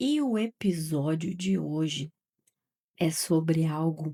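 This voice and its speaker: A woman's dark, mellow tone at a fairly low pitch, with ordinary pitch variation, comes through a very clean recording with a silent background and a dry, close sound with no echo. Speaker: podcast host. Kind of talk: casual storytelling podcast. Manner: animated.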